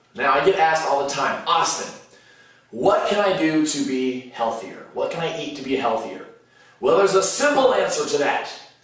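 A man at a moderate pace, surrounded by strong room echo. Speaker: fitness food vlogger. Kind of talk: casual vlog chat. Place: kitchen.

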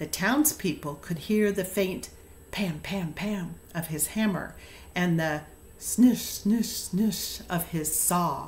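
Over light background noise, a somewhat breathy woman speaks very slowly at a medium pitch in a gentle, warm tone. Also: ordinary pitch variation. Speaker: storyteller. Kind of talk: fairy-tale narration; casual chat. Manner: gentle, warm, storybook-style reading with slow, measured pacing. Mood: gentle, warm storytelling. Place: home room. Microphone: webcam.

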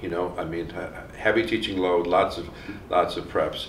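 Audible room echo and light background noise surround a voice speaking at a moderate pace. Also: man. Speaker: criminologist interviewer. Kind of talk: oral history interview. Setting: academic conference.

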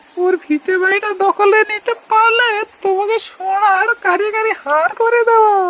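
In a cartoonish character voice, the speaker talks at an extremely high pitch and a fairly slow pace. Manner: sly, gloating.

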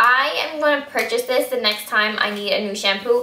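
An animated woman speaks at a moderate pace and a high pitch, with audible room echo. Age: 20s. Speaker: beauty vlogger. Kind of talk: product review vlog. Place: home room. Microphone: camera far.

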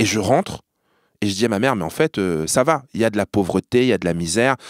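Animated tone and lively intonation at a fairly quick pace, dry and close with no echo, in a very clean recording with a silent background. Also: man. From France, Normandy. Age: 30s. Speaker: journalist and TV presenter. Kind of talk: casual chat. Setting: studio.

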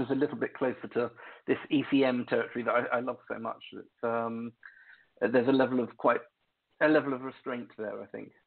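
A man with an English accent speaks at a medium pitch. His intonation is monotone and flat, with long, frequent pauses. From England. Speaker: keyboardist. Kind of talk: casual interview chat. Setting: remote call from home.

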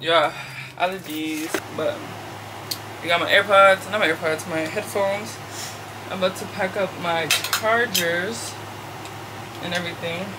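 A woman with an American accent talks at a fairly slow pace with long, frequent pauses over noticeable background noise. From Washington DC. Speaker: content creator. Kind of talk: casual vlog talk to camera. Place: home room. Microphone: camera far.

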